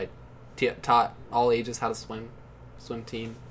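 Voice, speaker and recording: A man at a fairly quick pace with fairly even intonation, over noticeable background noise. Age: 20s. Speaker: podcast co-host. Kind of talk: casual chat.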